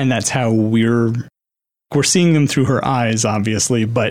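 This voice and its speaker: A man delivers his words in an ordinary speaking voice, moving at a moderate pace and letting his pitch vary in an ordinary way. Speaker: podcast host. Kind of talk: casual chat.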